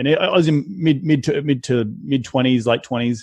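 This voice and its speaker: Speaking with an Australian accent, a man talks at a fairly quick pace. His pitch varies in an ordinary way. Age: 30s. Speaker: real estate investor. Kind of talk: podcast interview.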